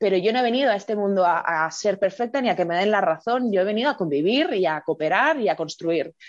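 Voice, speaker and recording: Against a quiet background, a woman speaks very fast at a medium pitch, with lively intonation, very even loudness and hardly any pauses. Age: 20s. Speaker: educator and online video creator. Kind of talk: casual interview.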